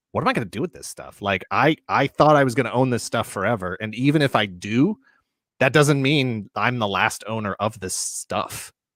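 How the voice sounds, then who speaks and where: A man speaks at a moderate pace in an ordinary speaking voice. The recording is very clean with a silent background and a dry, close sound with no echo. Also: medium pitch for a man, ordinary pitch variation, big swings in loudness. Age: 40s. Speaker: toy collector YouTuber. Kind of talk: casual chat. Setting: livestream.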